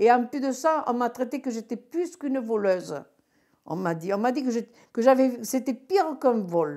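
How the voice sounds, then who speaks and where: A woman's high-pitched voice with a dark, mellow tone, very wide pitch swings, and a moderate pace. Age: 60s. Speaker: retired bingo caller. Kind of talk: testimony. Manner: clear-spoken; halting.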